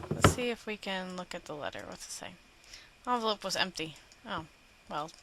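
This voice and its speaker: A woman at a fairly quick pace, with ordinary pitch variation, big swings in loudness and noticeable background noise. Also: medium pitch for a woman. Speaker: gaming video host. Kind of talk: let's play commentary.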